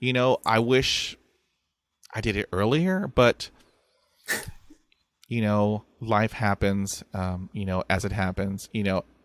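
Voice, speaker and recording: Here is a man with a Texan accent and a fairly low pitch. He speaks at a very slow pace. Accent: Texan American English. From Texas. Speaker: podcaster who stutters. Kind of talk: interview conversation. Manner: repetitions and blocks on sounds.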